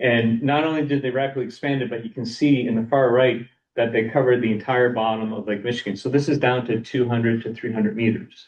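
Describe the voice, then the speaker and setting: With a slight Boston accent, a man talks very fast with hardly any pauses. His pitch is medium and his intonation fairly even. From Boston area, US. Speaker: lake scientist presenter. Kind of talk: lecture. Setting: seminar room, also streamed online. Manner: halting, many fillers and repeats.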